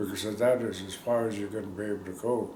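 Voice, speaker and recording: A man with an American accent speaks at a moderate pace and fairly low pitch, in a monotone, flat intonation. Audible room echo surrounds his voice. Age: 70s. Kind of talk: interview, oral history. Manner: halting.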